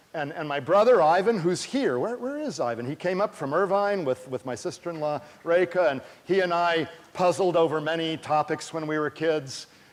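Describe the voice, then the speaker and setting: With noticeable background noise, a man in an American accent speaks at a moderate pace in a high voice with an animated tone and ordinary pitch variation. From US West Coast, California Bay Area. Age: 60s. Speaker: astronomy professor. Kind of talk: public lecture. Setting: stage with audience.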